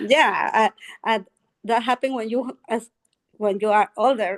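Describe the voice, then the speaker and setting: Fairly high-pitched woman's voice with a Spanish accent and ordinary pitch variation, dry and close with no echo. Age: 60s. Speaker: English learner. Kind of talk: language class conversation. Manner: halting.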